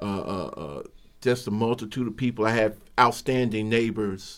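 An ordinary speaking voice at a fairly slow pace, with fairly even intonation and a very clean recording with a silent background. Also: man. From Chicago, South Side. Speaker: author. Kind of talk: radio interview.

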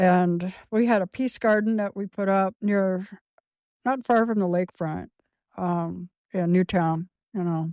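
A woman with a Midwestern American accent speaks at medium pitch and a fairly slow pace, leaving long, frequent pauses. Her intonation is fairly even, and the sound is dry and close with no echo. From Indiana, Clay County. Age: 60s. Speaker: homesteader and sustainability educator. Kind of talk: interview.

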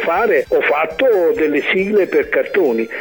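There is noticeable background noise as a man speaks with a Tuscan accent. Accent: Tuscan, still noticeable. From southern Italy, raised in Tuscany. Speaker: composer and music producer. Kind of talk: radio interview.

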